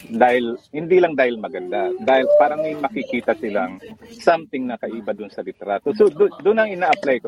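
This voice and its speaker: The speech moves at a fairly quick pace with very wide pitch swings. The sound is dry and close, with no echo. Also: man, fairly high pitch for a man. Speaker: photographer. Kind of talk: interview.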